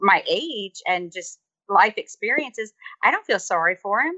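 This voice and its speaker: Speaking at a fairly slow pace, a woman with an American accent uses a plain, everyday voice at medium pitch. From US South. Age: 40s. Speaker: teacher. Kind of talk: interview. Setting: video call. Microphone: faulty call connection.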